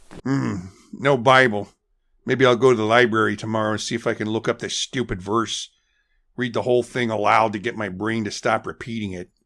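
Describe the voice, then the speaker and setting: A raspy put-on character voice with fairly even intonation moves at a fairly quick pace in a very clean recording with a silent background. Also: man, medium pitch for a man. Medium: audio drama. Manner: mumbling, hesitant.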